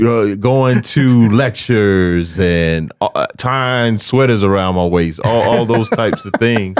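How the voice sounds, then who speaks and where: Very slow speech in an American accent, with ordinary pitch variation and hardly any pauses. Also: man, medium pitch for a man. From US South, South Carolina (Camden). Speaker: comedian and speaker. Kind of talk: casual chat.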